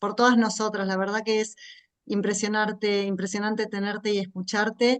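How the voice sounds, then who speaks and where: The intonation stays monotone and flat. A woman delivers it at a fairly high pitch. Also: moderate pace. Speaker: course moderator. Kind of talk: closing remarks.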